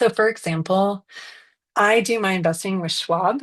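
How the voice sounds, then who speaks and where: A woman's medium-pitched voice with ordinary pitch variation, at a moderate pace against a quiet background. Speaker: financial strategist. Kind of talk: webinar presentation. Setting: Zoom video call with screen share. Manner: casual with many fillers.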